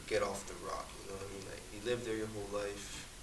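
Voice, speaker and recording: A man speaks fairly quickly in a room with audible echo and noticeable background noise. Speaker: college football player. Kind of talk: casual chat.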